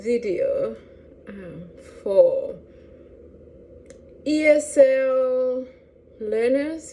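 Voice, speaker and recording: A woman with a Lesotho accent over noticeable background noise. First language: Sesotho. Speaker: language teacher. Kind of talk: educational talk to camera.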